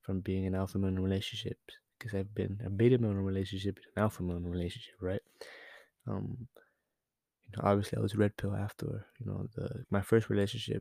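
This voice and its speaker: The voice is quiet, dark and mellow, and it moves at a very fast pace. Intonation stays fairly even in a dry, close sound with no echo. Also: man, fairly low pitch for a man. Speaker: podcast host. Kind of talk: casual monologue. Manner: halting, many fillers.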